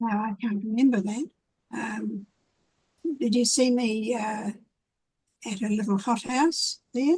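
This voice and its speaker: In a New Zealand accent, a woman speaks fairly slowly and somewhat breathily at a fairly high pitch, with ordinary pitch variation and long, frequent pauses. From New Zealand, Wairarapa (moved from Wellington at eight). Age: 80s+. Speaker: community activist and gardener. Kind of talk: casual interview. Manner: hesitant, with fillers.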